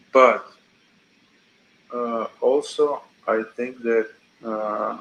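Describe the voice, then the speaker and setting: Very slow speech from a man with a non-native accent. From Georgia (country). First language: not English. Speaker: chat stranger. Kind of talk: casual chat. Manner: halting.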